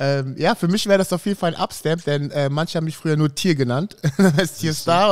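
Against a quiet background, a man talks at a very fast pace in a fairly high pitch with fairly even intonation. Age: 40s. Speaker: podcast host. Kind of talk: casual chat. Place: studio. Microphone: studio mic.

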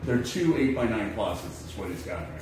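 Big pitch swings mark the fairly quick speech, with audible room echo and clear background noise. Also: man, fairly low pitch for a man.

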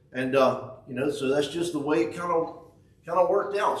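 The pitch varies in an ordinary way. There is audible room echo and light background noise. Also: man. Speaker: preacher. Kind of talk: sermon. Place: church. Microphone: camera far.

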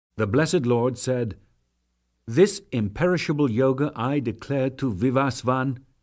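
In a very clean recording with a silent background, a man has an ordinary speaking voice, medium pitch, ordinary pitch variation and a moderate pace. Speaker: narrator. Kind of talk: dramatic scripture reading.

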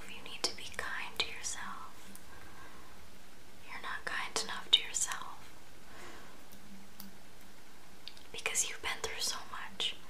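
A woman whispers in a soft-spoken, gentle tone at a fairly slow pace, with noticeable background noise. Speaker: video creator. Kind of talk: intimate comforting address to viewer. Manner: soft, gentle whisper, close to the mic. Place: home room. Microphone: phone near.

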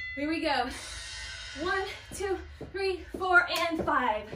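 Music plays in the background as a woman with an extremely high pitch speaks at a fairly slow pace with ordinary pitch variation. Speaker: fitness instructor. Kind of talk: workout class cueing. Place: empty room.

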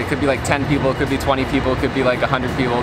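Over loud background noise, the speech moves at a very fast pace in a dry sound with no echo. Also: man. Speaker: vlogger. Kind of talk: casual vlog chat. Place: street.

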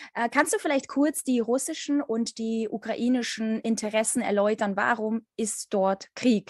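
This woman's voice sits fairly high, with ordinary pitch variation and hardly any pauses. The background is quiet and the sound is dry, with no echo. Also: fairly slow pace. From Ukraine. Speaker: interviewer. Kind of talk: interview. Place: home room. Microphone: video call.

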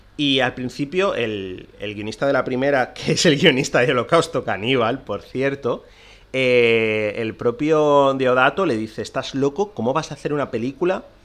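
At a moderate pace and medium pitch, a man speaks with ordinary pitch variation against a quiet background. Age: 30s. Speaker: film podcast host. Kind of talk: solo podcast monologue. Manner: halting.

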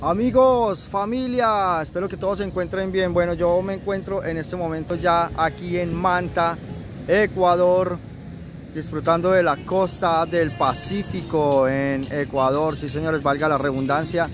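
With music in the background, a man speaks at a high pitch and a fairly slow pace, with ordinary pitch variation and a dry sound with no echo. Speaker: travelling motorcyclist vlogger. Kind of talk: casual vlog chat. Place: beach. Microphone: phone near.

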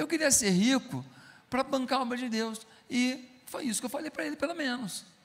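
With an extremely high pitch, a man speaks in an animated tone with lively intonation. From Taubaté, São Paulo state, Brazil; São Paulo state, Brazil. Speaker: pastor. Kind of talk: sermon. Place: stage. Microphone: handheld.

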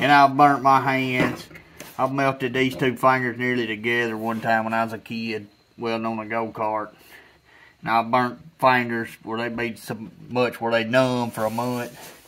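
Here a man talks in a bright, sharp tone. His intonation stays monotone and flat. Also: moderate pace. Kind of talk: casual workshop tutorial chat. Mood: earnest safety advice. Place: garden.

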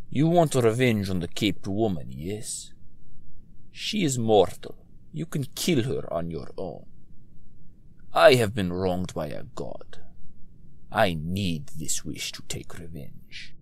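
In a put-on character voice, this man delivers his lines at a fairly slow pace. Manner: menacing, bitter.

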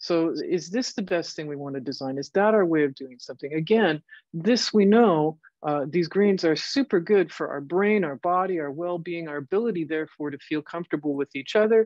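Fairly quick, fairly low speech from a woman in a plain, everyday voice, with lively intonation and big swings in loudness, the sound dry with no echo against a quiet background. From Canada. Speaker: computer science professor. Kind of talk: lecture. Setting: video call. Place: office. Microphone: webcam.

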